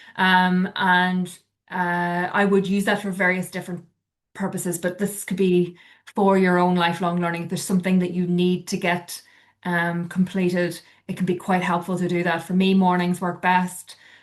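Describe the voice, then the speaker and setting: Speaking at a moderate pace with a Northern Irish accent, a woman uses a medium pitch and fairly even intonation. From Northern Ireland. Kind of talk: informal, advisory. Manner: conversational, frequent filler words.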